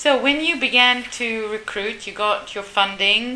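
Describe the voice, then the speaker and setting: A woman speaks at a fairly high pitch with ordinary pitch variation. Noticeable background noise sits behind her. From Uganda. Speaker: interviewer and marine biologist. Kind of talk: casual interview. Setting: on location at turtle rescue center, outdoors.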